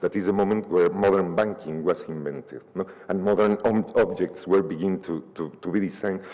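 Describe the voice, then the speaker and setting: With a Spanish accent, a man talks at a fairly quick pace with hardly any pauses, his fairly low pitch following fairly even intonation over noticeable background noise. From Mexico City. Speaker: novelist. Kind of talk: panel discussion. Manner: halting, many repetitions.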